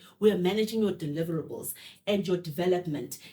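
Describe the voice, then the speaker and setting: Her voice is somewhat breathy. This woman speaks at a medium pitch. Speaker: podcast host. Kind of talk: interview. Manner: fast.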